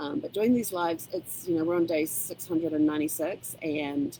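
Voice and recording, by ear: With a dark, mellow tone and vocal fry, a woman speaks at a fairly low pitch with big pitch swings. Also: moderate pace.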